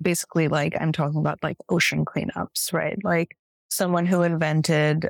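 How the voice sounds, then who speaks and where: A woman speaks with a Californian accent. The recording is very clean, with a silent background and a dry, close sound with no echo. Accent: Californian American. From US, San Francisco Bay Area. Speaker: nonprofit fundraising and communications director. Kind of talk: casual interview.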